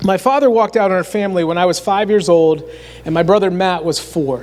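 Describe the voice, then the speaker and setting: Against noticeable background noise, a man with an American accent and a high pitch talks at a moderate pace. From north central Pennsylvania. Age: 40s. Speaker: youth minister. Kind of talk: sermon.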